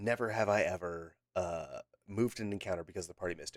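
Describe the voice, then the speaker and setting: Speaking very fast, a man with a fairly low pitch keeps his intonation fairly even. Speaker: podcast host. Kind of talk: casual chat. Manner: halting, many fillers.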